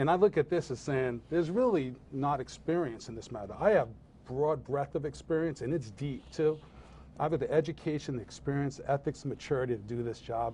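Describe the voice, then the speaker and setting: Fairly high for a man, the voice is dark and mellow and somewhat breathy. He talks at a very fast pace. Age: 50s. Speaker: political candidate. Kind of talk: interview.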